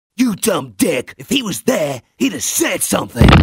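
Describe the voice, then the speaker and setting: A man talks at a high pitch with very wide pitch swings. His pace is moderate. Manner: irritable, insulting.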